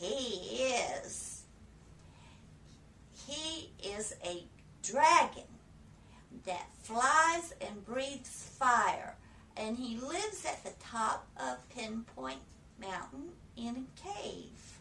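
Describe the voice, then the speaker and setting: In a put-on character voice, a woman speaks at a high pitch and a very slow pace. Long, frequent pauses break it up, and background noise is clear. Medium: read story.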